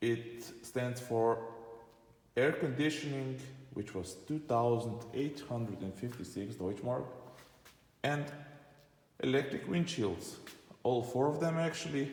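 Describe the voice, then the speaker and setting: In audible room echo, a man with a medium-pitched, somewhat breathy voice talks at a fairly slow pace with ordinary pitch variation and long, frequent pauses. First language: not English. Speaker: car enthusiast vlogger. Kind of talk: car walkaround video. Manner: halting.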